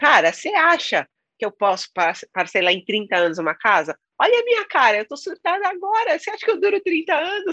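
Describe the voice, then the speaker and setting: The sound is dry and close, with no echo at all. A woman speaks at a moderate pace. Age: 40s. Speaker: author and content creator, former house cleaner. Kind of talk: interview.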